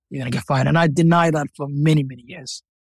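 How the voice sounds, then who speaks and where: In a dry, close recording with no echo, a man with a Somali accent talks at a very fast pace, somewhat breathy, with fairly even intonation. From Somalia. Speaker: author. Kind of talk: interview. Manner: halting, repeats words.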